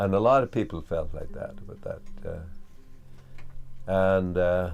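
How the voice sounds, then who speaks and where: Big swings in loudness mark this man's speech at a moderate pace. Audible room echo is present. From west of Ireland. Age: 60s. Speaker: farmer. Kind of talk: interview. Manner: halting, many fillers.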